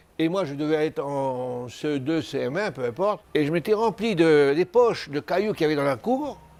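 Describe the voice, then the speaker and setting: A man with fairly high pitch, lively intonation, a moderate pace and hardly any pauses. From New Caledonia, Koumac. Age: 60s. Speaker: retiree interviewed about family history. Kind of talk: oral history testimony. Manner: halting, with repetitions.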